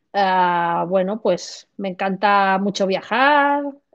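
A woman speaks at a medium pitch. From southern Spain, Granada. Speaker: physiotherapist. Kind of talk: interview. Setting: video call.

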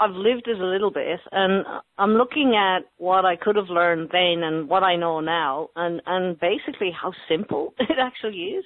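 A fairly quick pace in an Irish accent. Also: woman. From Ireland, County Sligo. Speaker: youth mentor and boxing coach. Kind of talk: interview.

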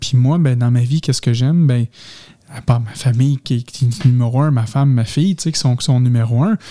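In a Quebec accent, a man speaks with a dark, mellow, somewhat breathy tone in a dry, close sound with no echo. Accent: Québécois French. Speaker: podcast host. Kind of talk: casual chat. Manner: halting.

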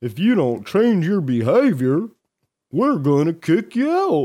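In a put-on character voice, a man speaks at a high pitch. His pitch swings very widely, and the pace is fairly slow. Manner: menacing, cartoonish.

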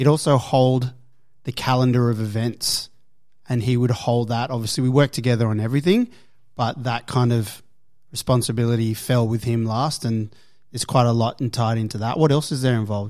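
A man's normal speaking voice at a medium pitch, fairly quick and with fairly even intonation. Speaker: gym manager. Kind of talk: casual chat.

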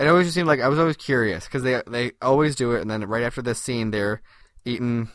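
Very fast speech comes from a man at medium pitch. His pitch varies in an ordinary way. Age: 30s. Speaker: podcast co-host. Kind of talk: casual chat.

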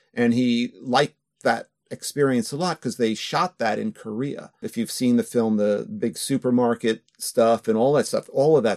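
A man with an American accent speaks in an unremarkable speaking voice at a medium pitch and a moderate pace. His pitch varies in an ordinary way, and the sound is dry and close with no echo. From New York area, US. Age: 60s. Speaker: filmmaker and author. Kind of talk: casual interview chat.

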